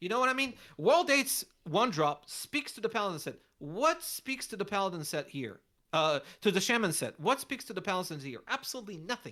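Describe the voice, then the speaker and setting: A woman speaks at a fairly quick pace with a bright, sharp tone. Her pitch swings very widely. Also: medium pitch for a woman. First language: not English. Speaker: card game content creator, contest judge. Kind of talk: casual chat judging fan card designs. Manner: halting, many restarts.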